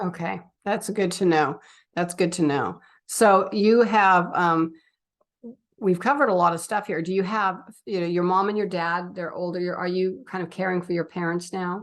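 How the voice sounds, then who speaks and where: Speaking in a normal speaking voice at a medium pitch, a woman talks at a moderate pace with fairly even intonation over a quiet background. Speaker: interviewer, host. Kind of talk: interview questions.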